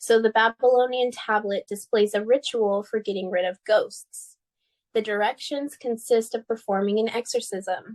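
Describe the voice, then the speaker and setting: In a normal speaking voice with an American accent, a woman speaks at a moderate pace with fairly high pitch and fairly even intonation, the sound dry and close with no echo over a quiet background. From United States. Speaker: podcast co-host. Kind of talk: casual chat.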